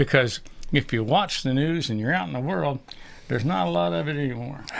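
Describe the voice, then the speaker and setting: A man at medium pitch talks at a fairly quick pace, his voice making very wide pitch swings. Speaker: podcast co-host. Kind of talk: casual chat. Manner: loud; animated.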